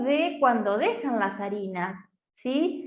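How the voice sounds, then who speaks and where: A woman speaks very slowly with an Argentine accent. The room echo is audible. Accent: Argentine Spanish (Rioplatense). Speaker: nutritionist. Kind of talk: online talk/workshop.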